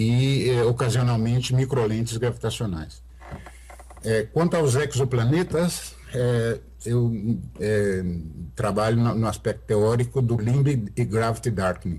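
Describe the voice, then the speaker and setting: A man's medium-pitched voice holds very even loudness at a fairly slow pace. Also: ordinary pitch variation. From Brazil, Sete Lagoas (Minas Gerais). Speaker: astrophysicist. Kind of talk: interview. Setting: video call. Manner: halting, many fillers.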